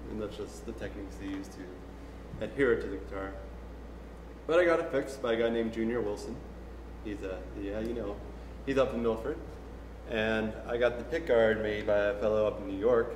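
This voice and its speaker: Very fast talking from a man amid noticeable background noise. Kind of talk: casual spoken story between songs. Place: hall.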